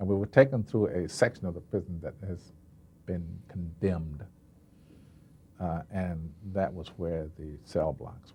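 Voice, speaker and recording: A man talks in a very deep, low pitch with a dark, mellow tone that is somewhat breathy. His fairly slow speech has long, frequent pauses and big swings in loudness. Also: ordinary pitch variation. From United States. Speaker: actor. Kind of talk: interview answer. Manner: calm.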